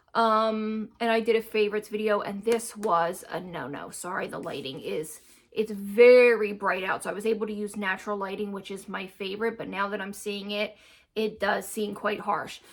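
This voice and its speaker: A medium-pitched woman at a moderate pace, her intonation fairly even, with noticeable background noise. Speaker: lifestyle YouTuber. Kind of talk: casual vlog talk to camera. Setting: home, natural daylight.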